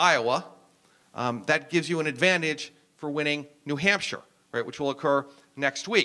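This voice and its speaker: A man with an American accent, a bright, sharp tone and ordinary pitch variation against a quiet background. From US Northeast (New Jersey). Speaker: professor. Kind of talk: lecture. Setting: stage with audience. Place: hall. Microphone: handheld.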